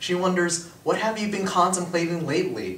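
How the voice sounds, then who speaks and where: A man speaks at a fairly quick pace with a fairly high pitch. Room echo is audible. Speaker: spoken word poet. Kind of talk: spoken word poetry performance. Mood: earnest, emotional. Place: classroom. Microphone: camera far.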